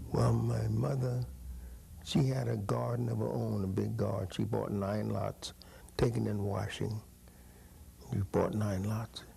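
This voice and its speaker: A man with an American accent speaks at a fairly slow pace in a very deep, low voice with a dark, mellow tone, vocal fry, very wide pitch swings, and long, frequent pauses. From California, Paso Robles. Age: 80s+. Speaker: former baseball player. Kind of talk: oral history interview.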